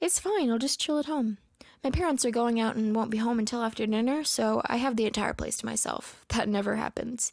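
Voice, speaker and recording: A soft-spoken woman with a fairly high pitch talks at a fairly quick pace, her loudness very even and her pitch variation ordinary, in a very clean recording with a silent background. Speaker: story narrator. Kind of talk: horror story reading. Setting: home recording.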